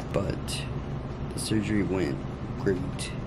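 A man is heard over loud background noise. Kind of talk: casual vlog chat. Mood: relieved, upbeat after surgery. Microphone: phone near.

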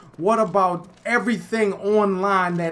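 A man speaks with ordinary pitch variation and a high pitch for a man. Noticeable background noise runs under his voice. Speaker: gaming YouTuber. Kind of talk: angry gameplay commentary rant to camera. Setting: home recording while playing a game. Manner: exasperated, indignant ranting with rhetorical questions; repetitive, stumbling delivery with repeated words.

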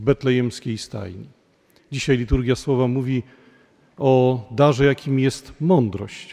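Against a quiet background, a man speaks at a very slow pace. His tone is dark and mellow. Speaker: parish priest. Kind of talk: sermon. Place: church.

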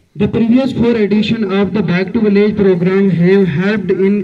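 A man speaks in a high pitch with monotone, flat intonation. Light background noise sits behind him. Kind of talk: formal speech. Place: street. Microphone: podium.

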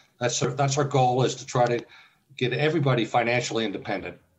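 A man talks at a fairly quick pace with a medium pitch and a somewhat breathy quality. His intonation stays fairly even. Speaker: early retiree and travel blogger. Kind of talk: casual interview.

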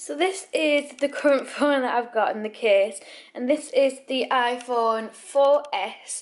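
A woman talks at a fairly slow pace. Her voice is high, with ordinary pitch variation. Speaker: vlogger. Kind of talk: casual vlog chat. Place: kitchen. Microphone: phone near.

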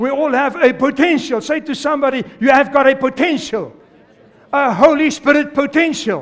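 A man's animated voice, extremely high in pitch, at a moderate pace. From South Africa. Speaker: pastor. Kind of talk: sermon to a live congregation. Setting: church with congregation. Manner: animated, exhorting, call-and-response; fervent, repetitive, urgent preaching cadence. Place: church. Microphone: headset.

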